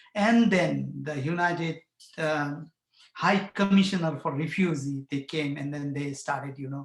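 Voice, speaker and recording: At a moderate pace, the somewhat breathy voice keeps a fairly even intonation. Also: man. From Bhutan. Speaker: community farmer and refugee advocate. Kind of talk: personal testimony at a panel forum. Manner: halting, with many fillers.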